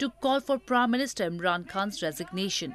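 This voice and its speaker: A woman with a fairly high pitch and lively intonation talks at a moderate pace in an unremarkable speaking voice. The sound is dry and close, with no echo. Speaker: newsreader. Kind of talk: formal news bulletin reading. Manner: formal, measured, steady newsreader delivery.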